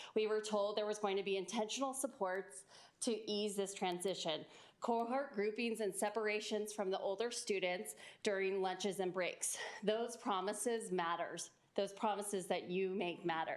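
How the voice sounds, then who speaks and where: A woman's medium-pitched, plain, everyday voice at a moderate pace, with very even loudness and fairly even intonation. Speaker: parent giving public comment. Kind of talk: public comment at school board meeting. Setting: school board meeting.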